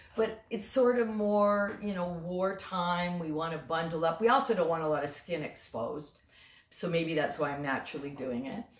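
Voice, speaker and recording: A plain, everyday voice from a woman, fairly low in pitch, with lively intonation at a moderate pace. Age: 60s. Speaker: storyteller and comic. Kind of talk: comic storytelling to camera. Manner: casual, conversational.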